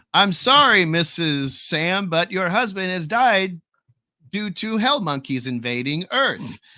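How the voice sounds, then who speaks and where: Putting on a robotic character voice, a man speaks raised and projected at a high pitch and a fairly slow pace. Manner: flat monotone, no inflection.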